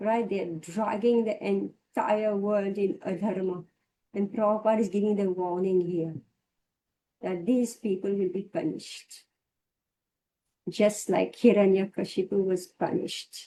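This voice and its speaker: A dark, mellow tone at a fairly slow pace, with fairly even intonation and long, frequent pauses. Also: woman, medium pitch for a woman. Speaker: spiritual teacher. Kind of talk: scripture class.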